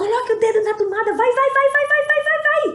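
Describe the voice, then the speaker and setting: A put-on character voice, squeaky and extremely high in pitch, at a moderate pace. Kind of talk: preacher's sermon imitation. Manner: mocking, urging.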